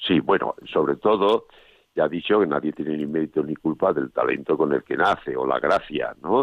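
A man with a very deep, low pitch talks with lively intonation. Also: moderate pace. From Extremadura, Spain (Monesterio, Badajoz). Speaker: painter. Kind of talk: interview.

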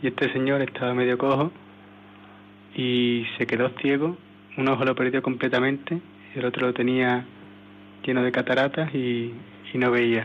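The speaker has an Andalusian accent, a monotone, flat intonation and long, frequent pauses. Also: man, medium pitch for a man, moderate pace, very even loudness. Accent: Andalusian (Seville) Spanish. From Seville, Spain. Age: 20s. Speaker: missionary volunteer. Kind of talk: testimony. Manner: halting.

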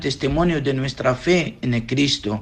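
A man speaks in an unremarkable speaking voice. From Iraq. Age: young. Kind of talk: interview answers.

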